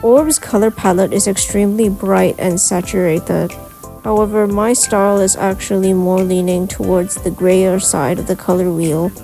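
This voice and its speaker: With music in the background, a woman at a medium pitch talks at a moderate pace with fairly even intonation. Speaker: digital artist. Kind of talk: art process narration.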